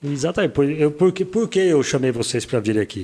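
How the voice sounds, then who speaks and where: Speaking at a fairly quick pace, a man uses lively intonation and a dark, mellow tone. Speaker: radio broadcaster and podcast host. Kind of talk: casual interview chat.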